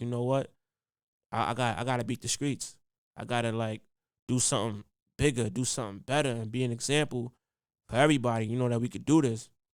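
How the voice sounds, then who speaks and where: Speaking very fast in a New York accent, a man uses fairly even intonation and leaves long, frequent pauses on a very clean recording with a silent background. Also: medium pitch for a man. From Harlem, New York City. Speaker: podcast host, educator, hip hop artist, public speaker. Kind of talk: casual podcast storytelling.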